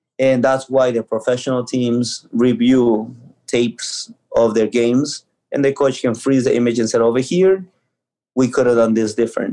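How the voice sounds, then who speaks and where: In a Spanish accent, a man talks at a moderate pace and medium pitch, his tone dark and mellow, his intonation fairly even and his loudness very even. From Ecuador. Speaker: youth soccer coach. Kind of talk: casual interview.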